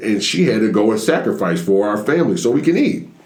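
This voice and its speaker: There is noticeable background noise and audible room echo. A man speaks at a very fast pace. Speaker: stand-up comedian. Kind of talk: casual chat.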